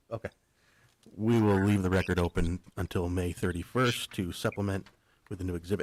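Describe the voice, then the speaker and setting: The delivery runs at a fairly quick pace with fairly even intonation and long, frequent pauses, on a very clean recording with a silent background. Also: man, very deep, low pitch for a man, dry, close sound with no echo. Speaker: hearing examiner. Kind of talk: formal hearing proceedings. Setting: hearing room. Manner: soft-spoken; formal.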